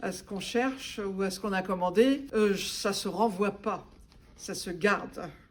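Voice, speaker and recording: A woman at medium pitch with ordinary pitch variation, a fairly slow pace and audible room echo. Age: 70s. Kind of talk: testimony. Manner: hesitant with frequent fillers.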